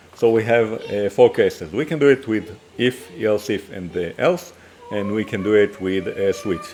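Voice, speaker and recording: A man speaks with lively intonation at a fairly low pitch, with noticeable background noise behind him. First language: Hebrew. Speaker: programming teacher. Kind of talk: coding tutorial. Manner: halting, many fillers and restarts.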